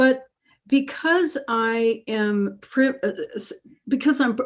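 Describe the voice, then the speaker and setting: A woman speaks with a Southern US accent. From US South, Alabama. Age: 60s. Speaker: author and therapist. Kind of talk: webinar interview. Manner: halting.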